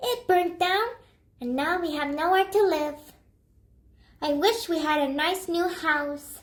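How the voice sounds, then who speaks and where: This female-sounding put-on character voice is squeaky and extremely high-pitched, moving at a fairly slow pace with long, frequent pauses. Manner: sad, wishful.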